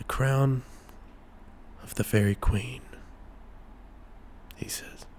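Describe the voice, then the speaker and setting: A man whispers very slowly, with long pauses coming often. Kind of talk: ASMR bedtime story. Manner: whispered, soft-spoken.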